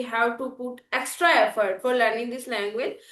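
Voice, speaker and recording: Her pitch high and her intonation fairly even, a woman speaks. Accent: Indian. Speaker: English learning YouTuber. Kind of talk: casual conversation practice. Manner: hesitant, many fillers.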